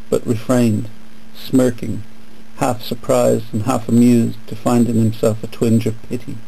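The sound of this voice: Reading in an unforced voice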